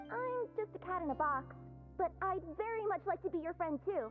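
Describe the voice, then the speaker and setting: An extremely high, put-on character voice speaks at a moderate pace over clear music in the background. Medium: video game. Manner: eager, excitable.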